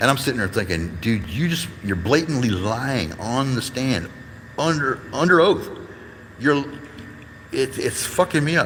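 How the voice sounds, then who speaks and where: In an American accent, a man talks at a fairly slow pace with an animated tone, very wide pitch swings and long, frequent pauses, and audible room echo is present. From Detroit, US Midwest. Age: 50s. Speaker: YouTube livestreamer, activist. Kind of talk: casual live-stream talk. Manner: animated, heated ranting.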